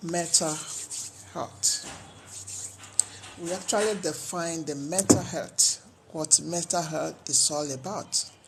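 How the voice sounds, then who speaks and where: Against noticeable background noise, a woman with a fairly low pitch speaks at a very slow pace with long, frequent pauses and fairly even intonation. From Nigeria, Edo (Benin). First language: Edo. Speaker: health talk vlogger. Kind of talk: educational talk.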